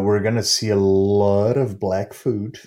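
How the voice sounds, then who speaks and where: A man with a Portuguese accent speaks in a fairly low, dark, mellow tone. The recording is very clean, with a silent background. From Brazil. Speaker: festival curator and cafe founder. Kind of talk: interview. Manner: halting, many fillers.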